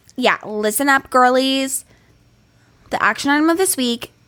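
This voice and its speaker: Animated in tone, a woman speaks with ordinary pitch variation. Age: 30s. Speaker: podcast co-host. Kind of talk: casual chat; advice segment.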